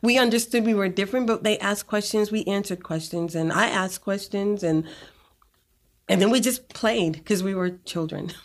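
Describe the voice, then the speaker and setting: A woman with an American accent uses a normal speaking voice at a fairly quick pace in a very clean recording with a silent background. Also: medium pitch for a woman, ordinary pitch variation. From Boston, Massachusetts. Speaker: physical therapist and co-pastor. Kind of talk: interview conversation.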